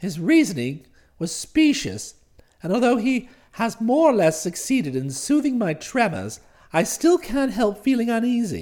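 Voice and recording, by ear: Putting on a character voice, a man speaks at a fairly slow pace in a high, slightly mellow tone with very wide pitch swings.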